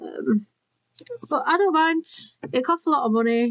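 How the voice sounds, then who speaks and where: With a Yorkshire accent and lively intonation, a woman speaks in a dry, close sound with no echo. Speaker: crafting YouTuber. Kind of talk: casual craft tutorial chat. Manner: chatty, rambling with many fillers.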